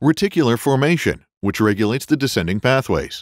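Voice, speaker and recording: The delivery is confident, fairly quick and lively in intonation. The recording is very clean, with a silent background and a dry, close sound with no echo. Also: man. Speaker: voice actor. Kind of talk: e-learning narration. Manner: friendly, professional; confident, communicative.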